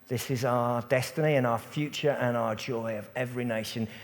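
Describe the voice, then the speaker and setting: Speaking with an English accent, a man talks at a moderate pace at a medium pitch, keeping his intonation fairly even. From England. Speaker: pastor. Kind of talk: church panel discussion. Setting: church.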